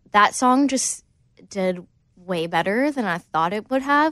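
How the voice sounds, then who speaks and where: A woman with a Southern accent at a fairly slow pace against a quiet background. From US South, Alabama (Gardendale, near Birmingham). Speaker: country singer-songwriter. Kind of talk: casual interview. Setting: studio.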